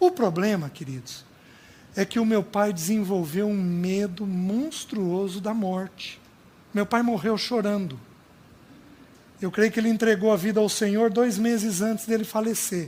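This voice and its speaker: Pausing long and often, a man speaks at a fairly slow pace with a high pitch and ordinary pitch variation. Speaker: preacher. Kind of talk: sermon.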